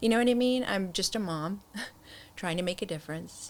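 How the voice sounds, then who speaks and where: Pitch varies in an ordinary way as the words come at a fairly quick pace. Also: woman. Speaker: nonprofit co-founder. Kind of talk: interview. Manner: casual conversational; emotional, voice shakes when speaking.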